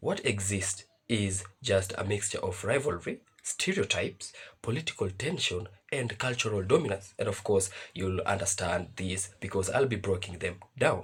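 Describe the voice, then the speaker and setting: This man's voice is fairly low and somewhat breathy. He keeps a moderate pace with ordinary pitch variation. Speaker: reaction video host. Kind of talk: video commentary. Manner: reading from notes.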